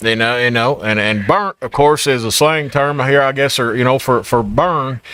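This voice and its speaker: With a strong Appalachian accent, a man speaks at a moderate pace with hardly any pauses, in a medium pitch with ordinary pitch variation and a bright, sharp tone. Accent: thick Eastern Kentucky Appalachian. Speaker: podcast host and diner owner. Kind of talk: casual chat. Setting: diner, live podcast.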